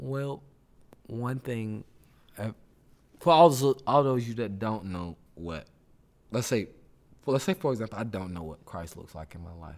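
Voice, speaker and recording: At a moderate pace, a speaker with a Southern US accent makes very wide pitch swings and big swings in loudness, with long, frequent pauses. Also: man, medium pitch for a man. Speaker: church music minister and student. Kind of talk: casual chat.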